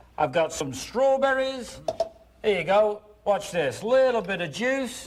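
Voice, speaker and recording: Over noticeable background noise, a man with a high voice speaks at a fairly slow pace. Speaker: infomercial host. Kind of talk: TV infomercial pitch. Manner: cheerful, upbeat.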